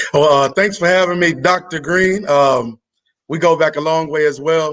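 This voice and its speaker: With an American accent, a man speaks at a moderate pace in a plain, everyday voice, his pitch fairly high and his intonation fairly even. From US South, Arkansas near Memphis. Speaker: teacher. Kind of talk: casual chat.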